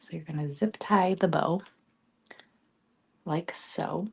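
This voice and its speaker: A woman talks in a soft-spoken way. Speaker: craft tutorial host, wreath maker. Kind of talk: tutorial. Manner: casual, hesitant.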